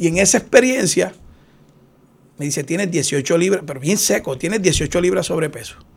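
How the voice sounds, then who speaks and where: A man's high-pitched voice with lively intonation, at a moderate pace with long, frequent pauses. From Puerto Rico, Aguas Buenas. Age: 50s. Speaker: retired police officer. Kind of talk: interview.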